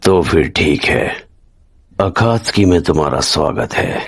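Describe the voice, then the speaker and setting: A man's put-on character voice, raspy and very deep, at a moderate pace with ordinary pitch variation. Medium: fan dub. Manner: calm, detached, authoritative.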